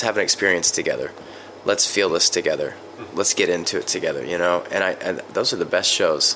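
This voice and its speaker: Noticeable background noise runs under the recording. A man talks at a fairly quick pace with an American accent. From US South, West Virginia. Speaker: musician, band singer and lyricist. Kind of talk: casual interview.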